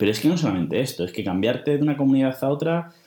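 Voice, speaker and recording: A man with a dark, mellow tone speaks at medium pitch, his voice making very wide pitch swings. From Spain, Toledo. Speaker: teacher studying for civil service exam. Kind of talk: personal monologue.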